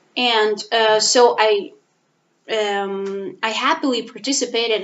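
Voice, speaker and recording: With a non-native accent, a woman speaks very slowly at a fairly high pitch. Her pitch varies an ordinary amount. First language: not English. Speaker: language teacher and master's student. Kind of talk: personal vlog monologue. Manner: halting, many fillers.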